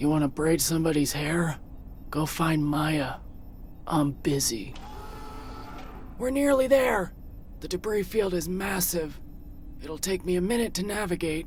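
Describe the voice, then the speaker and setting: Using a put-on character voice at a fairly low pitch, a woman speaks at a moderate pace with long, frequent pauses over clear background noise. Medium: video game. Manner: sarcastic, curt.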